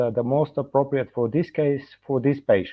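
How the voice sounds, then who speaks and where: A man's fairly high voice with a Bulgarian accent. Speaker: dentist and professor. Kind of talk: lecture. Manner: halting, many fillers.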